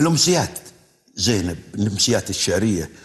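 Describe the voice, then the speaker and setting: Somewhat breathy and fairly low-pitched, a man talks at a moderate pace. His pitch swings very widely over a quiet background. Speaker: TV poetry show host. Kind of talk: TV talk show interview. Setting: studio with audience. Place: studio. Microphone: lapel.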